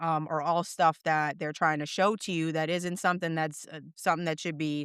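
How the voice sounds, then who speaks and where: A woman with a Boston accent speaks at a moderate pace in a fairly low pitch, her intonation monotone and flat. The recording is very clean with a silent background, dry and close with no echo. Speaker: dog trainer. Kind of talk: podcast interview answer.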